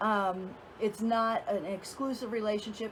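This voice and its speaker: A woman's somewhat breathy voice moves at a fairly slow pace with ordinary pitch variation. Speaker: dating and relationship coach. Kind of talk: casual vlog talk to camera. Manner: hesitant with fillers.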